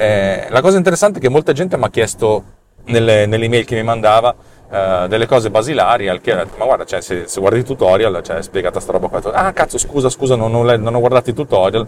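A man talking at a very fast pace with lively intonation. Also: medium pitch for a man. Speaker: podcast host and developer. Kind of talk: angry rant. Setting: video recording on the way to the office. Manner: animated, sarcastic; swearing, irritated, blunt.

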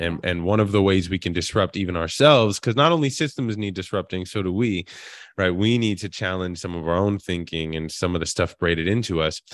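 A man's very deep, low voice with an American accent, at a fairly quick pace. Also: ordinary pitch variation. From Queens, New York. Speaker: actor and author. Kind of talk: interview. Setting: live online event.

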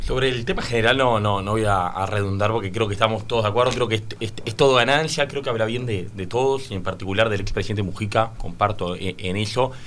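A man at a very fast pace, fairly low in pitch, with fairly even intonation, hardly any pauses, noticeable background noise and audible room echo. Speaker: political panelist. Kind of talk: radio panel discussion. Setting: radio studio.

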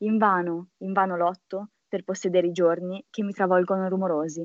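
Her delivery monotone and flat, a woman speaks at a medium pitch and a moderate pace. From Milan, northern Italy. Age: 20s. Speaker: model and poet. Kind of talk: casual chat.

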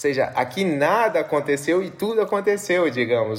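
A man talks at a moderate pace in a high-pitched voice. Noticeable background noise sits behind him. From Brazil, São Paulo. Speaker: philosophy professor. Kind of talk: casual conversation.

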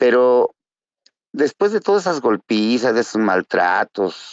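Fairly slow male speech with ordinary pitch variation. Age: 50s. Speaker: recovering alcoholic. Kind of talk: testimony.

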